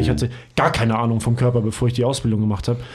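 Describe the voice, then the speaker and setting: Someone talks at a very fast pace with a dark, mellow tone and a somewhat breathy quality. Audible room echo fills the recording. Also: man. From Hamburg, northern Germany. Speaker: physiotherapist and trainer. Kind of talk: casual chat.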